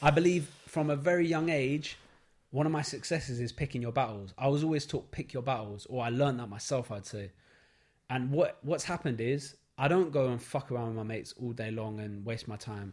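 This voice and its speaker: A man with a London accent talks at a fairly quick pace, his medium-pitched voice somewhat breathy and with ordinary pitch variation. The recording is very clean, with a silent background. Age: 20s. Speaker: photographer. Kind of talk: casual chat. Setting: studio.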